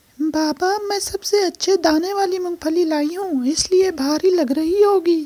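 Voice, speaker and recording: A cartoonish character voice moves at a fairly slow pace with hardly any pauses. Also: woman, extremely high pitch for a woman. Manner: sweet, polite.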